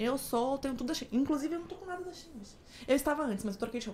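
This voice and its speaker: She talks very rapidly. This woman's voice sits high. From São Paulo. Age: 20s. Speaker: influencer and flight attendant. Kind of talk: casual chat.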